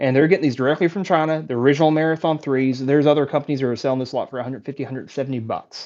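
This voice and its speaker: The speaker has an American accent and talks at a very fast pace. There are hardly any pauses. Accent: thick country. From Texas. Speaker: wood carving YouTuber. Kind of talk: live stream Q&A. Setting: live stream on laptop and phone. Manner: animated.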